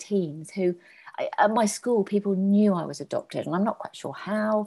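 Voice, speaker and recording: At a moderate pace, a woman speaks in a dark, mellow tone that is somewhat breathy and fairly high in pitch. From English Midlands, Birmingham. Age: 40s. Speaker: complementary therapist and adoptee. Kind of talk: personal testimony in interview.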